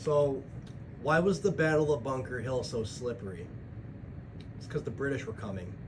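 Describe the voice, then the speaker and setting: A man at medium pitch talks at a moderate pace with lively intonation. Long, frequent pauses break up his speech, and the room echo is audible. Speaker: vlogger, truck driver and bodybuilder. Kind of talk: casual vlog monologue. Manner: rambling, halting with fillers.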